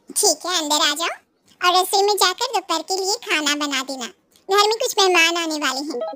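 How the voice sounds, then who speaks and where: Putting on a squeaky character voice at an extremely high pitch, a woman speaks at a fairly quick pace. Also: lively intonation. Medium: read story. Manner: gentle, kindly.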